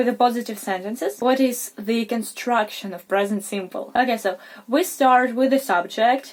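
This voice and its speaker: Amid noticeable background noise, a woman with a high pitch speaks at a fairly slow pace with ordinary pitch variation. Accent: non-native. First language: not English. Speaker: English teacher, video creator. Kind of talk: tutorial. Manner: informal, slightly halting.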